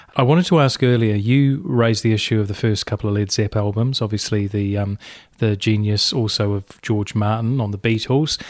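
Against a quiet background, a man with a New Zealand accent talks at a fairly quick pace with ordinary pitch variation. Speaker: community radio host. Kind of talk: interview.

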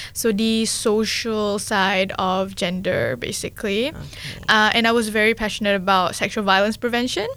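A woman's bright, sharp voice, fairly high-pitched, with fairly even intonation, a moderate pace and very even loudness. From Malaysia. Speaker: youth coordinator at community radio. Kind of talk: casual interview. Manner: hesitant, many fillers.

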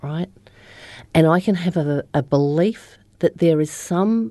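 Over a quiet background, a woman talks in an Australian accent. Her very deep, low voice has a dark, mellow tone and ordinary pitch variation. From Australia, Upper Murray and Melbourne. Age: 50s. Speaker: recovering alcoholic, business owner. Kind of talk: interview testimony.

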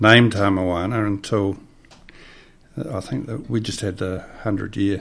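A man's fairly low voice with a New Zealand accent, very slow in pace, with ordinary pitch variation. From New Zealand, Hawke's Bay. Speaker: designer. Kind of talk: interview. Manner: halting.

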